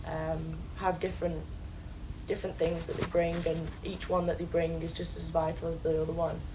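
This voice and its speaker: A woman speaks with an English accent. Room echo is audible. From England. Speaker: college soccer player. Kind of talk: interview. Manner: hesitant, many ums.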